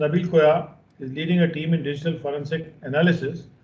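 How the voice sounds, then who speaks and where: A man speaks at a moderate pace in a fairly high pitch, with fairly even intonation and audible room echo. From India. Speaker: training program moderator. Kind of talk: formal introductions and moderation. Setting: video call webinar. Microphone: video call.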